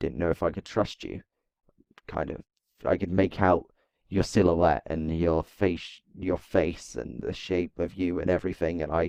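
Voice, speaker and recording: A man's put-on character voice, raspy and very deep in pitch, at a moderate pace against a quiet background. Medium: machinima. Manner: hesitant, stammering.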